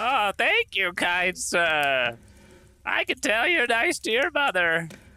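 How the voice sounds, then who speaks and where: In a very clean recording with a silent background, a man uses a put-on character voice at a high pitch and a fairly slow pace. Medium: actual play. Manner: folksy, hesitant.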